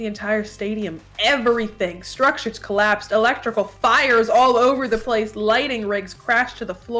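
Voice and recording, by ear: Someone reads aloud in a natural voice, intonation fairly even.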